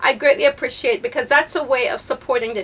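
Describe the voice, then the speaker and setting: Projecting her voice, a woman speaks at a high pitch with very wide pitch swings. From Jamaica. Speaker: fashion vlogger. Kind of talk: casual chat. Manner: fast.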